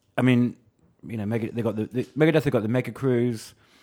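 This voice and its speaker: A man's voice at a medium pitch. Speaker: magazine reviews editor, co-host. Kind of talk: casual chat, podcast. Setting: echoey boardroom.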